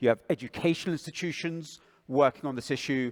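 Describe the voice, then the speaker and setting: Speaking with a British accent at a moderate pace, a man comes through on a very clean recording with a silent background. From England. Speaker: propaganda researcher. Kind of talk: panel discussion.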